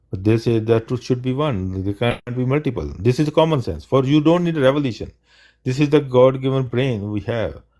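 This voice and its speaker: Recorded very cleanly with a silent background, a man with a non-native accent speaks at a fairly quick pace in a dark, mellow tone, his medium pitch showing ordinary variation. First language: not English. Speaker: livestream debate host. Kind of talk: live Q&A debate stream. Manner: halting, repeats words.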